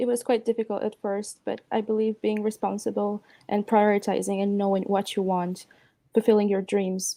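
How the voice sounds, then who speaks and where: A woman speaks at a moderate pace with a dark, mellow tone. Her intonation is monotone and flat. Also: dry, close sound with no echo. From Romania. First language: Romanian. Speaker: apprentice and university student. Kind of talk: award acceptance interview. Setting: video call.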